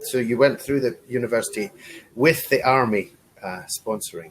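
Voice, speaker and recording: Speaking at a middling speed, a man has a British accent. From Scotland. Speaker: online English tutor. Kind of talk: casual conversation lesson.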